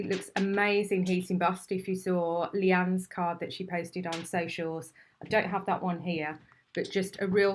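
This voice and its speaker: A woman speaks at a medium pitch. She has an English accent. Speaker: craft demonstrator and shop owner. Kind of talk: live stream product demonstration. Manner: animated.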